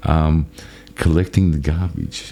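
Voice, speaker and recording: Noticeable background noise runs behind a man with an Australian accent. He speaks fairly slowly in a very deep, low voice. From Australia, Melbourne. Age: 60s. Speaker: channel owner telling life story. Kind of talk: personal storytelling. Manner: casual, halting with false starts.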